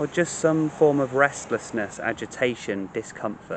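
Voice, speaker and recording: A man talks in a soothing tone with ordinary pitch variation. The sound is dry with no echo, and there is light background noise. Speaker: meditation teacher. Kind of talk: guided meditation, gentle spoken instruction to a listener. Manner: slow, soothing, compassionate cadence with repeated calming phrases; hesitant in places, repeating words mid-thought. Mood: calm, gentle, soothing. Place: garden. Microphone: phone near.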